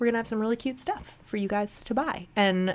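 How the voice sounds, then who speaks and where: A woman speaks with ordinary pitch variation. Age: 30s. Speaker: podcast co-host. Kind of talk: casual chat. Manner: animated.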